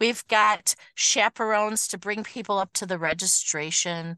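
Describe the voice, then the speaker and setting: In a dry, close sound with no echo and a quiet background, a woman of medium pitch speaks at a fairly slow pace with a bright, sharp, animated tone. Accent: Michigan. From Michigan, Detroit area. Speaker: schoolteacher. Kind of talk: casual chat.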